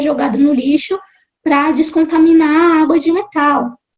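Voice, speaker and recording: A woman speaks in a high voice. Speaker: marine science graduate student and science communicator. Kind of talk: interview conversation.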